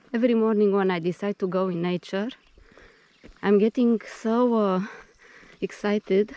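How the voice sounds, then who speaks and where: Someone with a non-native accent speaks with fairly even intonation and long, frequent pauses, the sound dry and close with no echo. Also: woman, medium pitch for a woman, moderate pace. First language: not English; speaks Greek daily for 20 years. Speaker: vlogger. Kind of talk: casual vlog narration. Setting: outdoors on a nature path. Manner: hesitant, many fillers.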